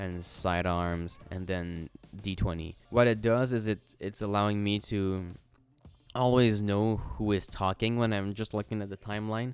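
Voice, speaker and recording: With a non-native accent, a man speaks in a fairly low voice with fairly even intonation. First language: not English. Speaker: video editor. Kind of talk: tutorial. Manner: casual, hesitant with fillers.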